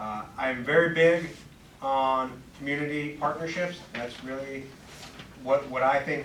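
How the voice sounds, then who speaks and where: There is audible room echo and noticeable background noise as a man talks at a fairly high pitch with fairly even intonation. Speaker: police commander. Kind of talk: public meeting remarks. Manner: loud.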